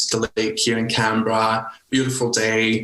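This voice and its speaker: The voice carries a Scottish accent. It moves at a moderate pace with monotone, flat intonation. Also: man. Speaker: nurse leader and coach. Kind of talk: podcast interview.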